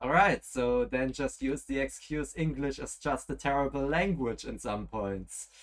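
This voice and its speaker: With a German accent, a man talks at a fairly slow pace with hardly any pauses, his fairly high pitch showing ordinary variation. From German-speaking Europe. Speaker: gaming streamer. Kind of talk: live gameplay stream. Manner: relaxed; halting.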